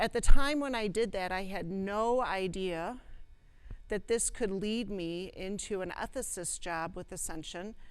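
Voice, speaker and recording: With audible room echo, a woman speaks at a fairly slow pace and medium pitch, her loudness swinging widely. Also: ordinary pitch variation. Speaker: clinical ethicist and former nurse practitioner. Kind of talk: lecture. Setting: presentation room with live audience.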